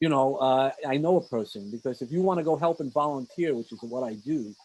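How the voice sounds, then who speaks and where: A man with a New York accent talks at a fairly quick pace. His pitch is medium, with ordinary variation. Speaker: podcast host and mentor. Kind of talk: interview. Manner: speeds up when enthusiastic; animated.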